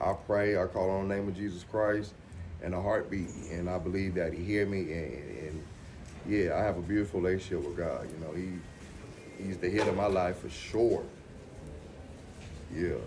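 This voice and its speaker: A man with a very deep, low pitch talks at a moderate pace, somewhat breathy and with fairly even intonation. He leaves long, frequent pauses, and the room echo is audible. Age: 40s. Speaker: dialysis patient. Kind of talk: documentary interview. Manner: halting, repetitive.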